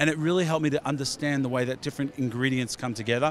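A man with a fairly high voice and a slight Australian accent talks at a very fast pace. The sound is dry with no echo, over light background noise. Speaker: beauty product company founder; product creator. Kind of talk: trade show interview. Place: hall. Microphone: handheld.

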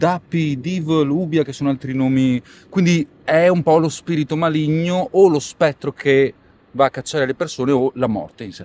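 Over light background noise, a man with a fairly high voice speaks at a moderate pace with fairly even intonation. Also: dry sound with no echo. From Italy. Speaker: rapper; interviewee. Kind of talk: interview. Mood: relaxed, casual. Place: street.

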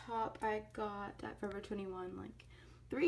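At a moderate pace, a woman speaks. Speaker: lifestyle vlogger. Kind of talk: casual vlog chat. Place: home room. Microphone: phone near.

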